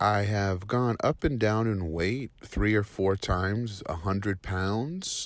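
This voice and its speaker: With a normal speaking voice, a man talks at a fairly slow pace in a fairly low pitch with ordinary pitch variation over a very clean recording and silent background. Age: 40s. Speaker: client testimonial. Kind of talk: testimony.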